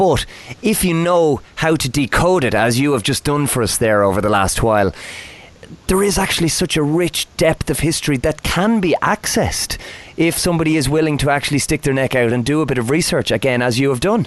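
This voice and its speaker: Over noticeable background noise, a man with an Irish accent and a fairly high pitch talks at a fairly quick pace with lively intonation and very even loudness. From Ireland. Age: 30s. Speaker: podcast host. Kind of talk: podcast interview.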